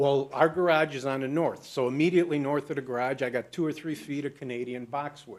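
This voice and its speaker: Against a quiet background, a man talks very fast. His pitch is fairly high, with ordinary variation. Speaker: small business owner speaking at public hearing. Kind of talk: public comment at meeting.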